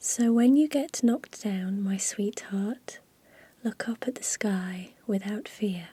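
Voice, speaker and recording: A woman speaks very slowly in a fairly high, somewhat breathy voice with a gentle, dark, mellow tone. Her loudness swings widely while her pitch varies in an ordinary way. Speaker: ASMR creator. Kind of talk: reading a children's picture book aloud. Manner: soft-spoken, whispery, gentle.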